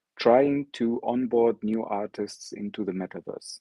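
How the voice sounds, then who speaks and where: The speaker has an Arabic accent and a fairly slow pace. Their intonation stays fairly even. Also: man. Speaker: NFT artist. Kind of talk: online presentation.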